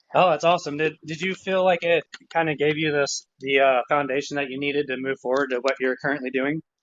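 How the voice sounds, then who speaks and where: The speaker talks very fast with a slight Texas accent. The intonation stays fairly even. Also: man, fairly high pitch for a man. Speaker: GIS analyst. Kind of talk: casual chat.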